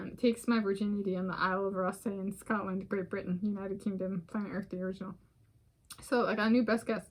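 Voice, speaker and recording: A woman's somewhat breathy medium-pitched voice, fairly quick, with monotone, flat intonation. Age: 30s. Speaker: vlogger. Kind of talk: casual solo vlog monologue. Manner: rambling, halting with fillers.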